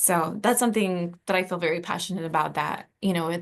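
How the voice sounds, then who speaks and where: A woman talks at a fairly quick pace in a fairly low pitch. The background is quiet. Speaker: university diversity program director. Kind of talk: presentation. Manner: fast.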